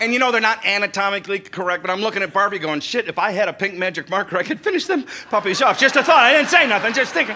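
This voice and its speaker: Over noticeable background noise, a man with a high voice speaks in a raised, projected way, very fast and with hardly any pauses. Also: lively intonation. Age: 60s. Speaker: comedian. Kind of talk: stand-up. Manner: animated storytelling.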